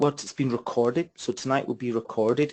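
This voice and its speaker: Speaking with a Scottish accent, the voice moves at a fairly quick pace over a quiet background. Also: man. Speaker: property investment trainer. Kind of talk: webinar presentation. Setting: online webinar. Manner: fast.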